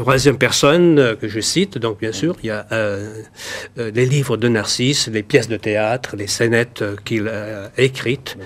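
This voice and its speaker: A man with ordinary pitch variation and a medium pitch talks at a fairly slow pace. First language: Valais Franco-Provençal patois (speaking French). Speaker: patois dictionary author. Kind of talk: TV talk show interview. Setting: TV studio with audience. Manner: halting, many hesitations.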